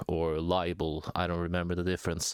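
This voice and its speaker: A man's very deep, low voice with a non-native accent and fairly even intonation, on a very clean recording with a silent background. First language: not English. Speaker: small YouTube commentator. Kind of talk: casual vlog monologue. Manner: hesitant, many fillers.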